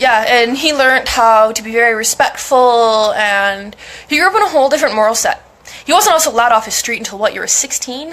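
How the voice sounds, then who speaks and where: In a high voice with ordinary pitch variation, a woman talks at a fairly quick pace. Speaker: mental health streamer. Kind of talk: casual chat. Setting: live stream.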